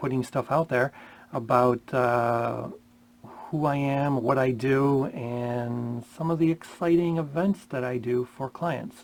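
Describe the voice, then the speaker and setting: A man's voice at a medium pitch. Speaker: wedding DJ. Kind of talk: casual vlog talk. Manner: many fillers, umm and ya know.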